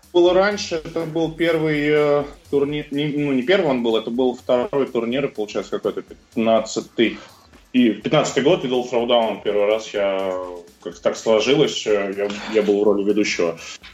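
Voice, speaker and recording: A man's lively intonation over music in the background. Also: medium pitch for a man, fairly slow pace. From Russia, Moscow. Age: 30s. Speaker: CrossFit coach and athlete. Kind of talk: interview.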